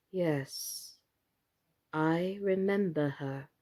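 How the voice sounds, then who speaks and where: A woman's put-on character voice, fairly low in pitch. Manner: very slow, hesitant.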